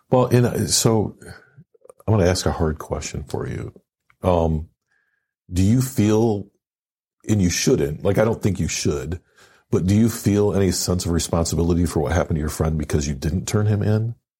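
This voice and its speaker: A man with an American accent speaks at a moderate pace in a very deep, low, somewhat breathy voice with a dark, mellow tone and ordinary pitch variation. He leaves long, frequent pauses, and the recording is very clean with a silent background. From Michigan, city. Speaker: podcast host, veteran. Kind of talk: casual interview.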